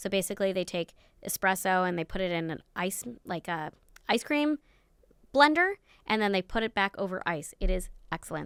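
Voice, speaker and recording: A woman with an American accent talks fairly quickly at a medium pitch, using ordinary pitch variation. The very clean recording has a silent background and a dry, close sound with no echo. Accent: New York accent, comes out at times. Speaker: podcast host and neurodiversity consultant. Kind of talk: podcast interview. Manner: animated.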